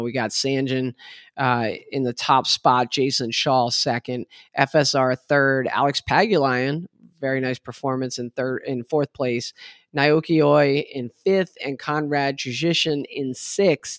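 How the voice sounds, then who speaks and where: A man's unremarkable speaking voice at a fairly slow pace, medium in pitch with fairly even intonation, on a very clean recording with a silent background. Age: 50s. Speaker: pool podcast host. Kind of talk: casual chat.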